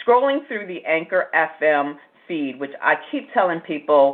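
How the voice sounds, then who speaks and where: This woman talks at a fairly quick pace in a fairly low register. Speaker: podcast host. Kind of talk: casual interview. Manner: warm, animated.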